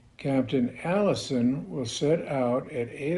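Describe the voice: Lively intonation in plain reading aloud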